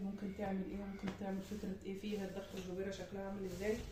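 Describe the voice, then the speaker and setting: A woman talks at a very fast pace. Audible room echo and noticeable background noise fill the recording. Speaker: home textiles maker and vlogger. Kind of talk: product walkthrough tutorial. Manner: casual, conversational; quiet, low volume.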